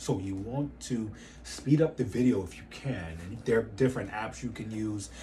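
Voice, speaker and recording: Audible room echo surrounds the recording. A man speaks with very wide pitch swings. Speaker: fitness business coach. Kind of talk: tutorial. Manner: fast.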